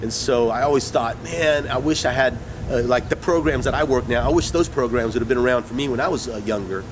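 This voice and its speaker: Speaking at a medium pitch with ordinary pitch variation, a man comes through over noticeable background noise. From Mexican-American community, US Southwest. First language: Spanish. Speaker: actor and poet. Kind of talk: interview. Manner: halting, many fillers and repeats.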